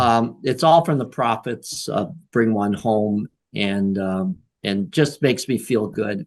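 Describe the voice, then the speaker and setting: A man at a very slow pace with lively intonation. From Michigan Upper Peninsula. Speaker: author. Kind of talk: interview. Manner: halting.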